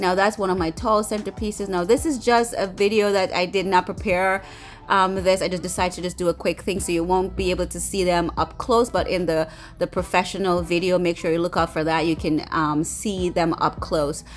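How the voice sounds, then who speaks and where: Over light background noise, a woman talks at a fairly quick clip with vocal fry. Her intonation stays fairly even. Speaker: bride and lifestyle vlogger; lifestyle vlogger. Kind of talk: casual video walkthrough. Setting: event venue. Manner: fast; halting, many fillers. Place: hall. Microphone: phone near.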